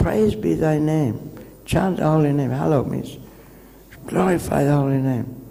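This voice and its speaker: Audible room echo surrounds a man speaking at a fairly high pitch with ordinary pitch variation. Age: 70s. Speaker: visiting monk giving a lecture. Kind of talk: lecture.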